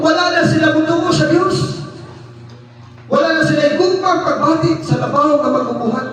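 A man speaks at a moderate pace with very even loudness. Noticeable background noise is present. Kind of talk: sermon. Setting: church. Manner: earnest, preacherly, rhythmic delivery with audience-directed questions.

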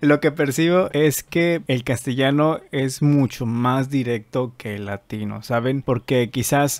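A man at a fairly slow pace, with ordinary pitch variation and a dry sound with no echo. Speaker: dubbing reaction youtuber. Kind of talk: casual commentary. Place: home room. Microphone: studio mic.

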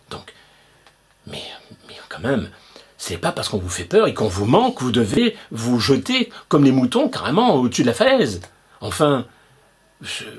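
A man's medium-pitched voice at a moderate pace, with very wide pitch swings, big swings in loudness and long, frequent pauses. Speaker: video blogger. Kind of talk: angry conspiracy rant, indignant monologue to camera. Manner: indignant, emphatic, sarcastic; insistent, repetitive, hammering points with rhetorical questions. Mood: indignant, persuasive. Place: home room. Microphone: webcam.

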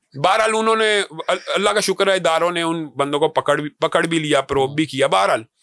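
A man at a high pitch with a bright, sharp tone, moderate pace and quiet background. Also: ordinary pitch variation, dry sound with no echo. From Pakistan. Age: 40s. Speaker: religious party leader and scholar; guest. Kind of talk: interview. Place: studio. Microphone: studio mic.

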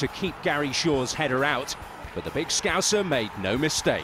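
A man talks at a moderate pace in a fairly high voice with ordinary pitch variation. Noticeable background noise runs under him. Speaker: documentary narrator. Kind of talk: scripted narration. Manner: formal, measured.

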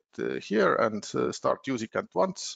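This is a man speaking with an Estonian accent. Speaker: software consultant. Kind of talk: webinar presentation. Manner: hesitant, many filler words.

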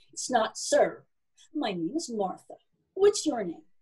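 Putting on a booming character voice, a woman speaks at a fairly slow pace in a fairly high pitch, with big pitch swings, a slightly mellow tone and a husky, rough edge.

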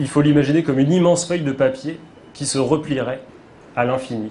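A man speaks with a fairly high pitch and ordinary pitch variation, with noticeable background noise behind him. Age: 30s. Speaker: comic book author. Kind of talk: interview.

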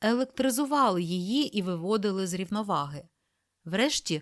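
A natural reading voice with lively intonation over a quiet background.

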